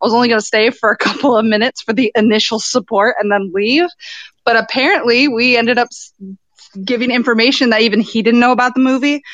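This woman talks at a very fast pace. Her voice sits fairly high in pitch. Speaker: podcaster calling in. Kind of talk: casual chat. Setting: phone call.

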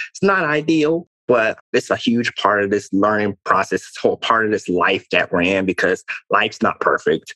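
With a bright, sharp tone and fairly low pitch, a man speaks at a moderate pace with ordinary pitch variation, in a dry, close sound with no echo. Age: 20s. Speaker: motivational speaker and former athlete. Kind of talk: casual chat.

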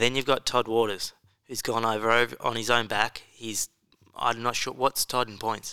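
A man's medium-pitched voice with an Australian accent, bright and sharp in tone and monotone in intonation, at a moderate pace, with a dry, close sound, no echo, on a very clean recording with a silent background. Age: 20s. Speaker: motocross podcast co-host. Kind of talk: casual chat.

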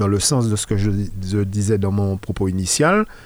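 A plain, everyday voice at a fairly slow pace. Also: man. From Martinique. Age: 50s. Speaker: local politician. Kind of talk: radio interview.

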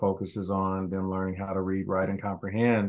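A fairly quick, fairly low-pitched man with an American accent against a quiet background. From US Midwest, Kansas City, Missouri. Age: 50s. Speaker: school principal, educator. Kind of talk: interview, casual chat.

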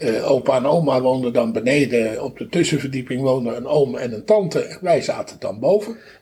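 Amid noticeable background noise, a man talks at a moderate pace in a fairly high pitch, with lively intonation and hardly any pauses. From North Holland, Netherlands (Haarlem). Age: 70s. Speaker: musician. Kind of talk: interview. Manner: halting.

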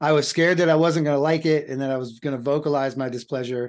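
A man with an American accent talks very fast in a fairly high pitch with lively intonation over a quiet background. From US South. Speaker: podcast co-host discussing films. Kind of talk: casual chat.

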